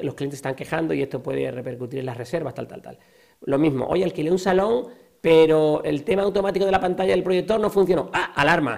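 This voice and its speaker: A man at a fairly quick pace, with lively intonation and vocal fry. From southern Spain. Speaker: company founder. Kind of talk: interview.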